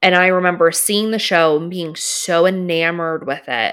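On a very clean recording with a silent background, a woman with a normal speaking voice and an American accent talks at a moderate pace, with a fairly low pitch and fairly even intonation. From US Northeast, Philadelphia. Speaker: costume designer. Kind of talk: casual chat.

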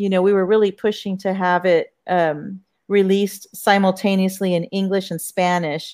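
A woman with an American accent and an unremarkable speaking voice talks fairly slowly at a medium pitch, in a very clean recording with a silent background. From Corpus Christi, Texas. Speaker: author. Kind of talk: panel discussion.

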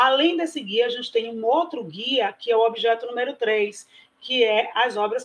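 This woman has a fairly high pitch and an ordinary speaking voice. She talks at a moderate pace. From Bahia, Brazil. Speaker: preschool principal. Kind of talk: online panel discussion.

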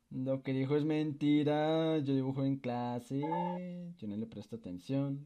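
A man with a normal speaking voice talks at a fairly slow pace, his pitch fairly high and its variation ordinary. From Colombia. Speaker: podcast host. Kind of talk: casual chat. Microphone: echo from the microphone.

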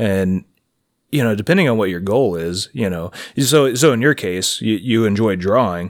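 A man with an ordinary speaking voice, fairly low in pitch, moderate pace, ordinary pitch variation, on a very clean recording with a silent background. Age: 30s. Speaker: podcast co-host. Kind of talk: casual chat.

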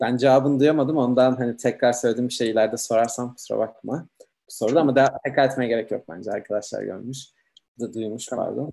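A man speaks very fast at a medium pitch, with a dark, mellow tone, vocal fry and fairly even intonation. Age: 30s. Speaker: livestream host. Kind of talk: online interview.

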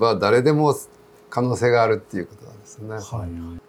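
This man has an unremarkable speaking voice. His pitch is medium, with ordinary variation. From Japan, Kumamoto (Kyushu). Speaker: veteran mountaineer and trail runner. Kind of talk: interview. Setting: cafe.

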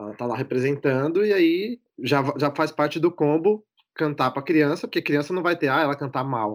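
An unremarkable speaking voice belongs to this man, pitched fairly high. He moves at a moderate pace with ordinary pitch variation. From Brazil, São Paulo. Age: 30s. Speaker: former TV production worker. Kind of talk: casual chat.

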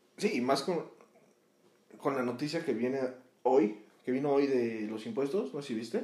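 Long, frequent pauses break up this dark, mellow voice. The room echo is audible. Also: man, fairly high pitch for a man, lively intonation, moderate pace. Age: 20s. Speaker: podcast co-host. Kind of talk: casual chat.

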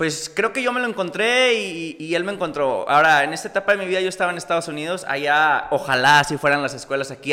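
With lively intonation, a man talks at a very fast pace against noticeable background noise. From northern Mexico, Coahuila (Múzquiz). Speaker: actor and cosplayer. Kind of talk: casual chat.

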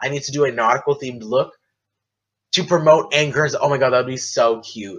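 Loud and animated, a man with an American accent talks at a fairly quick pace, pitched fairly high with ordinary pitch variation. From United States. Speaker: podcaster. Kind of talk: casual solo podcast monologue. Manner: animated, chatty.

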